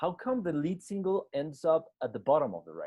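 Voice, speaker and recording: A man with a Spanish accent speaks at a moderate pace in a dark, mellow tone, his pitch swinging very widely. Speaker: radio host. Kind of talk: interview. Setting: video call.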